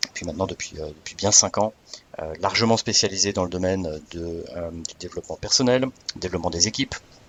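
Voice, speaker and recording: Fairly quick speech with big swings in loudness and ordinary pitch variation, over noticeable background noise. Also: man, very deep, low pitch for a man. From Alsace, France, with American mother. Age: 40s. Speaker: business school training project manager. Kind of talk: podcast interview. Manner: hesitant, many fillers and repetitions.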